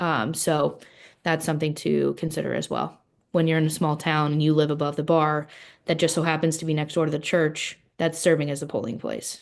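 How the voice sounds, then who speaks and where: A woman talks at a fairly quick pace with a very deep, low pitch and vocal fry. Her intonation is monotone and flat, and the background is quiet. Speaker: state election office staff. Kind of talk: Q&A panel answers. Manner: fast.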